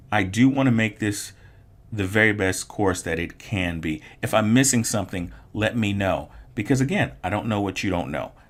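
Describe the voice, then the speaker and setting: The speaker has an unremarkable speaking voice. Delivery is at a moderate pace with ordinary pitch variation. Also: man, fairly low pitch for a man. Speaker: online art instructor. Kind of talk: tutorial.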